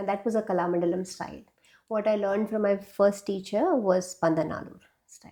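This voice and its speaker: A woman with a Keralan accent speaks at a fairly quick pace and medium pitch. Her tone is dark and mellow, with big swings in loudness. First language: Malayalam. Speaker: classical dancer and dance teacher. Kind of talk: interview. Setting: studio. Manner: hesitant, with many fillers.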